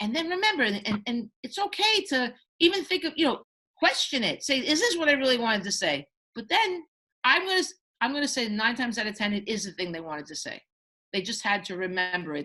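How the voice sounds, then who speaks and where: A woman's high, bright, sharp voice, very fast, with very wide pitch swings. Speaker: children's book author. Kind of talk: panel presentation. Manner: animated.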